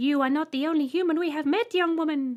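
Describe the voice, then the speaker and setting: A woman's shrill, high put-on character voice at a very fast pace. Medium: read story. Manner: polite, holding back giggles.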